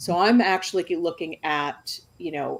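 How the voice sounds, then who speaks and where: A woman is speaking with an American accent. Her pace is fairly slow. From US Northeast, New York. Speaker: novelist. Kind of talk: panel discussion.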